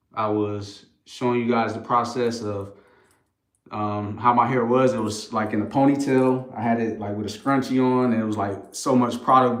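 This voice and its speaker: Speaking in an American accent, a man of medium pitch keeps a monotone, flat intonation. He goes at a moderate pace, and room echo can be heard. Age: 30s. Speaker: brand co-founder. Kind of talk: live stream chat. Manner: casual, filler-heavy.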